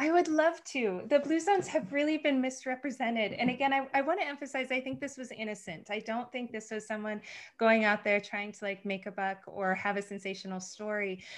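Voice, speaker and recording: A woman with an American accent talks at a fairly quick pace. Her pitch is fairly high and her intonation lively. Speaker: nutritionist. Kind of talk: interview. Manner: fast.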